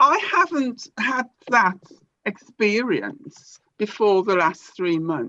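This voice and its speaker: A woman speaks at a very slow pace. Her fairly high pitch moves in very wide swings. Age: 60s. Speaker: caller sharing health question. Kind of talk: casual chat.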